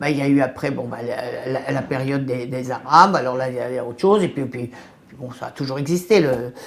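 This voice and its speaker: A woman's voice with ordinary pitch variation. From France, Sevran (Paris suburbs). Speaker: local resident interviewee. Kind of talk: interview testimony.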